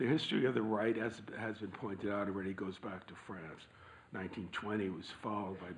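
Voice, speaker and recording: With audible room echo around him, a man speaks in a fairly low pitch and fairly even intonation. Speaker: panel speaker. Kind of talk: prepared talk. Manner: formal.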